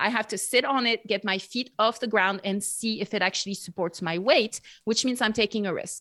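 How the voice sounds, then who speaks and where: A French accent comes through a bright, sharp tone at a fairly quick pace, with hardly any pauses and ordinary pitch variation. The sound is dry and close with no echo, over a quiet background. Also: woman, fairly high pitch for a woman. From France, near Bordeaux. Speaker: podcaster and Bible teacher. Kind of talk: casual chat.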